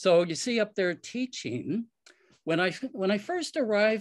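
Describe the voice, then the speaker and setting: The background stays quiet while a man talks. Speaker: war resister and poet. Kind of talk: personal storytelling talk. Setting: video call. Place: home room. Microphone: video call.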